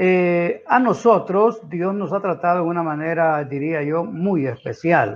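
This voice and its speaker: A man speaks with a high pitch. His pace is fairly slow, and his pitch variation is ordinary. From Honduras, Santa Bárbara. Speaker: pastor. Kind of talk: testimony.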